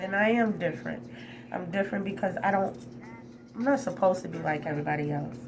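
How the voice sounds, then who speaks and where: A loud woman with a fairly low pitch speaks in an animated tone at a very fast pace with very wide pitch swings and long, frequent pauses, amid noticeable background noise and audible room echo. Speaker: spiritual vlogger. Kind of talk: personal vlog testimony. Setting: hotel room. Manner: loud, animated.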